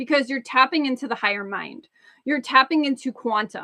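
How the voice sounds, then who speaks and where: A woman speaks in a high pitch with a raised, projected voice and a bright, sharp tone. The sound is dry and close, with no echo. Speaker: spiritual coach. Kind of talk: live-streamed masterclass. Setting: livestream on social media. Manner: halting, self-correcting.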